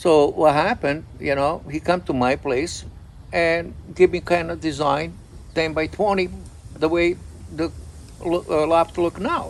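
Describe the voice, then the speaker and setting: With a Croatian accent, a man speaks at a fairly slow pace, pausing long and often. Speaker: pigeon breeder. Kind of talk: casual chat.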